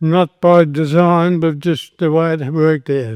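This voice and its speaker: Recorded with a dry, close sound and no echo, a man with an Australian accent speaks at a fairly slow pace and a fairly high pitch. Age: 80s+. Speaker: retired accountant and Freemason. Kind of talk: after-dinner speech. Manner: halting.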